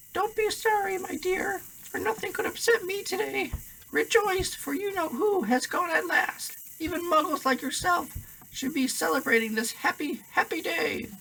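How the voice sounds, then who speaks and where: In a put-on character voice, the speaker sounds squeaky at an extremely high pitch and a moderate pace. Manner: gleeful, jubilant.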